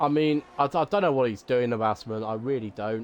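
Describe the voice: With a medium pitch and ordinary pitch variation, a man talks at a fairly quick pace.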